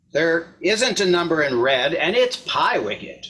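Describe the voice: A man's put-on character voice with a fairly high pitch, big pitch swings, a bright, sharp tone and a fairly slow pace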